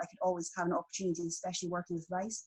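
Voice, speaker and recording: A woman with a strong Scottish accent speaks very fast in a somewhat breathy, fairly low-pitched voice with monotone, flat intonation. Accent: broad Scottish. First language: Thai. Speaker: artist. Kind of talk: interview.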